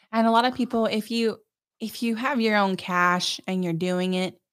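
On a very clean recording with a silent background, a woman speaks at a moderate pace with ordinary pitch variation. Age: 30s. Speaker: realtor. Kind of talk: casual chat.

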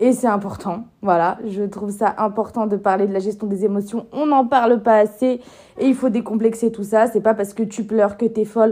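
A woman talks at a moderate pace with a fairly high pitch. Her tone is dark and mellow, her intonation monotone and flat. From France, Lyon. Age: 20s. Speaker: podcaster and YouTuber. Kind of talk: casual solo podcast monologue.

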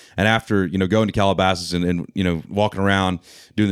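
In a very clean recording with a silent background, a man with an American accent talks at a fairly low pitch. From Georgia, US South. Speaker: country singer-songwriter. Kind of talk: casual interview chat. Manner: halting, filler-heavy, casual.

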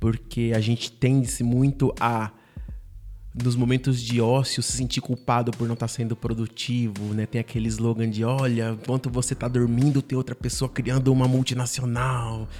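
A man at medium pitch, monotone and flat, at a moderate pace, with music in the background. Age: 30s. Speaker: writer and scriptwriter. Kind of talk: interview.

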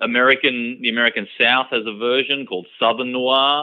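A moderate pace in an Australian accent. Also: man. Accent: typical Australian. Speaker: author. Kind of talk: radio interview. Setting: radio studio.

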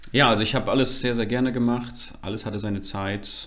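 A man talks in a fairly low pitch. Audible room echo surrounds his voice. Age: 20s. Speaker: church member and media volunteer. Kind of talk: casual interview.

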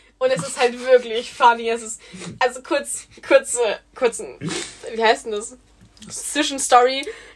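A woman speaks with a high pitch, ordinary pitch variation and big swings in loudness. Her pace is fairly slow, with long, frequent pauses, and music plays in the background. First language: not German (speaking German). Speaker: podcast co-host. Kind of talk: casual chat.

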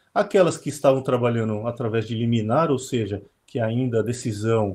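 Somewhat breathy and with a dark, mellow tone, a man talks at a fairly slow pace and medium pitch with ordinary pitch variation. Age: 40s. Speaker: trading company CEO. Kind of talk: webinar conversation.

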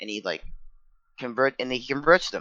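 A man speaks at a fairly quick pace in an animated tone. His intonation is lively. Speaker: co-host. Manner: animated, fast, profane.

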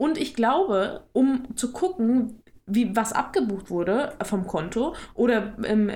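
This woman has an unremarkable speaking voice, fairly high in pitch, with lively intonation. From Ruhr area, western Germany. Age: 20s. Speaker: podcast co-host. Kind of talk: casual chat.

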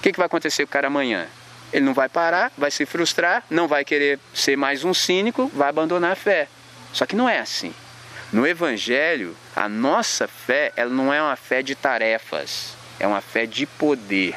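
A man with a fairly high pitch talks at a moderate pace with very wide pitch swings over noticeable background noise. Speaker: urban missionary and skateboarder. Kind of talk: sermon-style talk to a young audience. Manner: animated, slangy.

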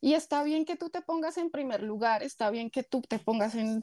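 On a very clean recording with a silent background and a dry, close sound with no echo, a woman speaks at a moderate pace in a dark, mellow tone with ordinary pitch variation. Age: 20s. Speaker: influencer and fitness coach. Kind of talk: interview.

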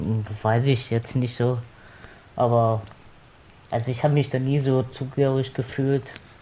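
Long, frequent pauses break up a man's somewhat breathy speech at a moderate pace. His medium pitch stays monotone and flat, with very even loudness. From Cologne. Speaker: podcast guest. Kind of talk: casual chat.

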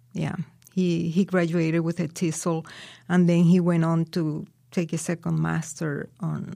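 In a Spanish accent, a woman speaks at a fairly slow pace with a fairly low pitch, a dark, mellow tone and monotone, flat intonation. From Colombia, Barranquilla. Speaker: guest immigrant from Colombia. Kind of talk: interview, casual chat. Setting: studio.

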